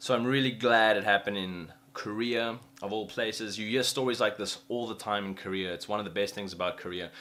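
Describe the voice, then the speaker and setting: The voice has a bright, sharp tone and fairly even intonation. It moves at a fairly quick pace. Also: man, fairly low pitch for a man. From South Africa. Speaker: vlogger. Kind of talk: casual story time vlog. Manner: casual, conversational.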